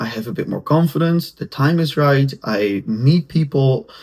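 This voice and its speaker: The man's voice sounds somewhat breathy. The recording is very clean, with a silent background. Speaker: podcaster and content creator. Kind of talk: solo podcast monologue. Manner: halting, with restarts; casual. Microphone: camera's built-in mic, poor sound.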